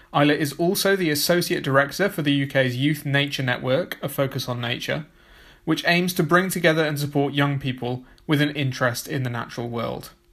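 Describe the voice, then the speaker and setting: This is a man with a normal speaking voice, fairly high in pitch with ordinary pitch variation, on a very clean recording with a silent background. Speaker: podcast host. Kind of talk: interview intro and conversation.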